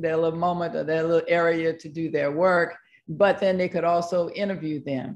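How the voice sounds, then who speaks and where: With an unremarkable speaking voice, a woman speaks at a fairly low pitch and a moderate pace. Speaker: university professor. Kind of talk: online panel presentation. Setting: video call. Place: home room. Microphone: video call.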